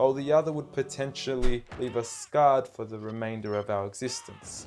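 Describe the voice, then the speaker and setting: Music plays in the background as a man speaks at a fairly quick pace. He has a medium pitch with ordinary variation. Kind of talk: spoken word poetry.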